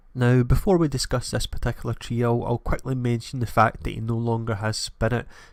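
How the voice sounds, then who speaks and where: Over a silent background in a very clean recording, a man with a Scottish accent speaks at a fairly quick pace and medium pitch, his intonation fairly even and hardly any pauses. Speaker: gaming YouTuber. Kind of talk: game preview commentary.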